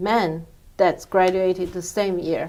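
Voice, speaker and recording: A woman is speaking. She has a Chinese accent. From China. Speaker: immigrant interviewee. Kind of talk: interview. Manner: halting.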